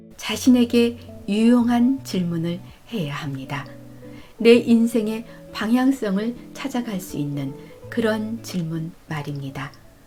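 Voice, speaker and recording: Over music in the background, a woman speaks in a calm tone at a very slow pace, her medium pitch swinging very widely. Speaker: narrator. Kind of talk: audiobook reading of life advice. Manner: calm, soft-spoken.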